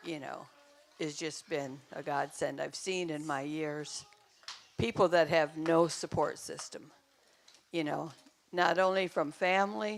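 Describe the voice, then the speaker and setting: A woman speaks in a very deep, low pitch at a fairly slow pace, with ordinary pitch variation and long, frequent pauses. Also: big swings in loudness. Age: 70s. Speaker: church member on panel. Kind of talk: personal testimony.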